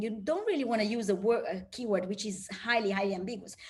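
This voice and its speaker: Fairly quick and fairly high-pitched, a woman talks with ordinary pitch variation amid audible room echo. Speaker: research scientist. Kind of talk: lecture. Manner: fast.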